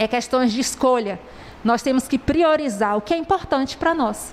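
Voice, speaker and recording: With lively intonation and a high pitch, a woman speaks over noticeable background noise. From southern Bahia, Brazil. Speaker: preacher. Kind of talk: sermon.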